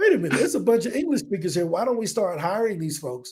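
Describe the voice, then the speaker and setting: The speaker talks at a very fast pace with an animated tone and an American accent. Pitch swings very widely throughout. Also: man. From US Midwest, East St. Louis, Illinois. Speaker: entrepreneur. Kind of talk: podcast interview.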